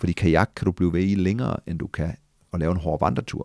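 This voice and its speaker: A man speaks at a fairly quick pace in a very deep, low voice. The sound is dry with no echo, and the background is quiet. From Denmark. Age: 40s. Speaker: adventurer and former soldier; podcast guest. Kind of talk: casual interview. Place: office. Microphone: studio mic.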